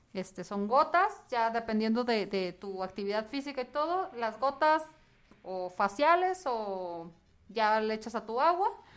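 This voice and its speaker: Speaking at a fairly slow pace over a quiet background, a woman uses a fairly high voice with very wide pitch swings. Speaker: skincare products seller. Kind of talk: casual chat. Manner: talkative.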